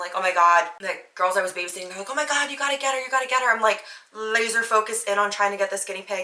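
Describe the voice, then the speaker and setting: With an American accent and a medium pitch, a woman talks at a very fast pace in an animated tone, her loudness swinging widely, with ordinary pitch variation and noticeable background noise. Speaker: podcast host. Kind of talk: casual monologue.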